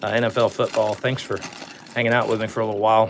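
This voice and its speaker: A man talks at a very fast pace with a medium pitch. There is noticeable background noise. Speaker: sports card collector opening packs. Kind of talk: casual live stream pack opening. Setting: live stream. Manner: monotone.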